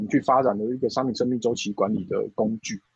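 A man talks at a very fast pace with a medium pitch. The sound is dry and close, with no echo. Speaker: e-commerce product director. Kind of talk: interview.

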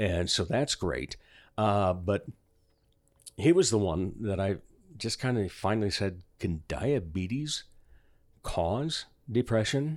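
A man with a fairly low pitch talks very slowly, leaving long, frequent pauses, and his intonation is lively. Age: 50s. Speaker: comedian and voiceover artist. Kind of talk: casual chat.

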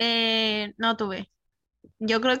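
A woman with a Chilean accent speaks at a fairly high pitch, bright and sharp in tone, with monotone, flat intonation. The recording is very clean with a silent background, and the sound is dry and close with no echo. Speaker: podcast co-host. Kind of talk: casual chat.

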